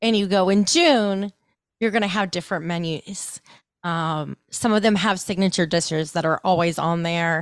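With an American accent and an ordinary speaking voice, a woman speaks at a medium pitch and moderate pace with fairly even intonation on a very clean recording with a silent background. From Ohio, US Midwest. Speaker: food podcaster. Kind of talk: casual chat.

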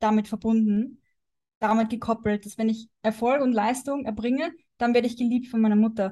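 A woman speaks at a moderate pace with a fairly high pitch. Her tone is dark and mellow, and somewhat breathy. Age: 20s. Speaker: wellness coach. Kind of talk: casual chat.

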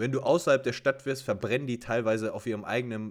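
At a fairly quick pace, a man talks in an ordinary speaking voice at medium pitch. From Germany. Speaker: podcast co-host. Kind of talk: casual chat. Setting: remote call.

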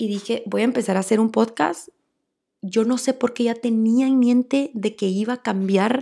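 A woman with a Guatemalan accent speaks in a fairly high pitch with a dark, mellow tone and ordinary pitch variation. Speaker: podcast host. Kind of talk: solo monologue, personal story. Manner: fast when excited.

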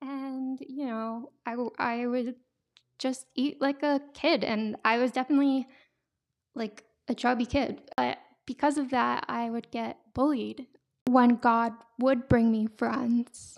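A woman speaks at a very slow pace in a high pitch with monotone, flat intonation. The recording is very clean, with a silent background. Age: 20s. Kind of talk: testimony. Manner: casual, frequent laughs and fillers.

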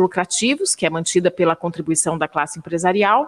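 A fairly quick delivery in an unremarkable speaking voice. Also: woman. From Brazil, São José dos Campos area, family from Minas Gerais. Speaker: podcast co-host, journalist. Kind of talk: podcast interview.

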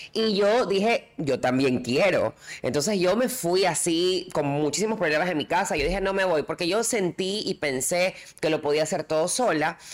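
With an ordinary speaking voice, a woman speaks at a fairly low pitch with lively intonation and very even loudness. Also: moderate pace. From coastal Ecuador. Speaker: podcast co-host. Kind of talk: casual chat.

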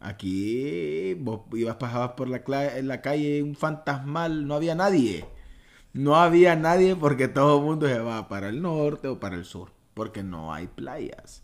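In a very clean recording with a silent background, a man speaks at a fairly high pitch. His voice makes very wide pitch swings and big swings in loudness. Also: fairly slow pace. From Honduras, Choluteca. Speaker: podcast host. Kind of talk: casual chat.

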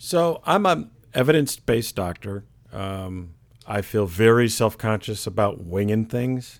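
A man with an American accent speaks at a fairly low pitch and a fairly slow pace, with lively intonation. The recording is very clean, with a silent background. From Michigan, US. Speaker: primary care physician. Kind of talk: interview. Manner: hesitant, many fillers.

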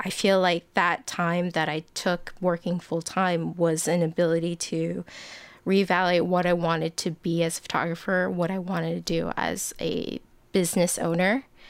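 On a very clean recording with a silent background, a woman talks at a moderate pace in a fairly low pitch with monotone, flat intonation. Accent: American. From US, Bay Area, Northern California. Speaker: photographer. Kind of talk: interview conversation.

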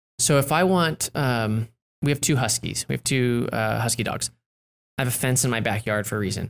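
The sound is dry and close, without any echo. An unremarkable speaking voice goes at a fairly quick pace, its pitch varying in an ordinary way. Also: man, medium pitch for a man. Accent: American. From US West Coast. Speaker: author and agency owner. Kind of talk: casual interview.

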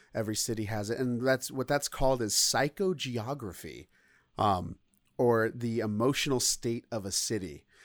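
A man with a normal speaking voice talks at a moderate pace and medium pitch, with ordinary pitch variation. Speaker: podcast host. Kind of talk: casual chat. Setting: remote call.

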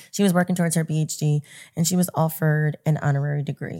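A woman speaks very fast in a very deep, low voice with a dark, mellow tone. The recording is very clean, with a silent background. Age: 40s. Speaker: events and media professional. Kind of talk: casual interview chat.

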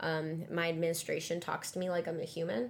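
The voice has vocal fry and little pitch movement. It moves at a fairly quick pace. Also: woman, fairly low pitch for a woman.

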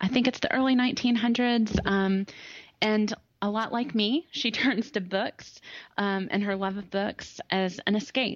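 A woman speaks at a fairly high pitch in a Southern US accent. Her pace is fairly slow, with ordinary pitch variation. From US South. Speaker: attorney. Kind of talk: casual interview chat.

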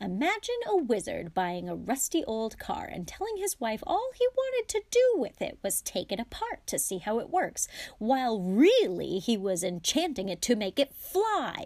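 Using a put-on character voice, a woman speaks at a moderate pace with few pauses, her fairly high pitch swinging very widely and her tone slightly mellow.

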